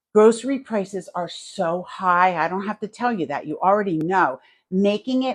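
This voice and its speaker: With a New Jersey accent, a woman speaks at a moderate pace and medium pitch, her intonation lively against a quiet background. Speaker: home cooking YouTuber. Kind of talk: live cooking stream chat. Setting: home kitchen, live stream. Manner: casual, chatty.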